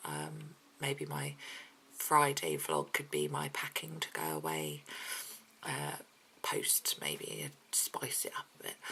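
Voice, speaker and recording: A woman speaks quietly at a very slow pace. Her pauses are long and frequent. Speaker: mummy vlogger. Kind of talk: casual vlog chat. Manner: hesitant, many ums.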